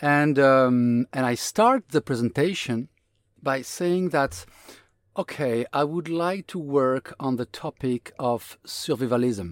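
Speaking very slowly with a French accent, a man uses lively intonation at a medium pitch. The recording is very clean and silent behind him, with a dry, close sound and no echo. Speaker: designer, designer of the year. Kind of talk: interview conversation.

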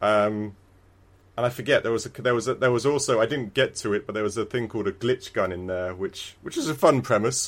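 Here a man has an ordinary speaking voice, medium in pitch with ordinary pitch variation. He moves at a fairly quick pace on a very clean recording with a silent background. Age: 30s. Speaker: video game podcast co-host. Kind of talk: casual chat.

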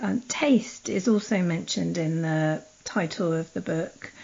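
A woman speaks with vocal fry. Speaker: podcast host. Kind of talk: interview questions. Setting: Skype call.

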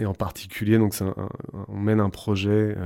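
The man has a fairly low pitch and a dark, mellow tone at a fairly slow pace. The recording is very clean, with a silent background. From France, Creuse (rural). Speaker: architect. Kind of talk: interview. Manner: halting, many fillers.

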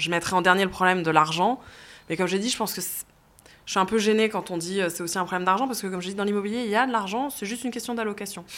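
Here a woman speaks at a very fast pace. Her pitch is medium, with ordinary variation. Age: 30s. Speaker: CEO of a property listings company. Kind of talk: interview.

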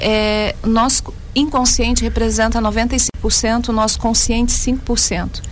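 A woman talks at a very slow pace in a monotone, flat intonation, her pitch fairly high. Noticeable background noise and audible room echo fill the recording. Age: 40s. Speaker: psychotherapist. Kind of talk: interview.

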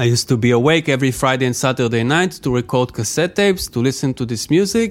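A man with an Israeli accent and lively intonation. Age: 30s. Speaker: DJ and music producer. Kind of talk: casual interview conversation.

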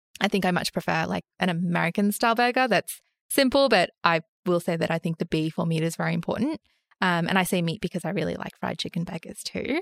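A very fast woman with an Australian accent, fairly low pitch, ordinary pitch variation and a dry, close sound with no echo. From Sydney, Australia (western suburbs). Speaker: investment podcast co-host. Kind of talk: casual chat about personal finance.

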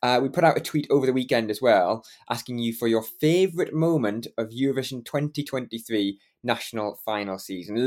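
A man talks at a fairly quick pace with a Geordie accent. His pitch sits in the medium range. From northeast England, Newcastle area. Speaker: podcast co-host. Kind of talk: casual chat.

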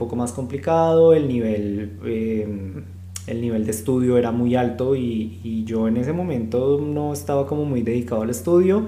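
Against noticeable background noise and audible room echo, a man speaks at a medium pitch. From Colombia, Bogotá. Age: 30s. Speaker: podcast co-host. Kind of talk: casual chat.

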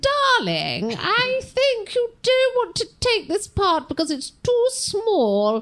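A put-on character voice from a female-sounding speaker, extremely high-pitched, very slow, with hardly any pauses. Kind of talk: affected, theatrical.

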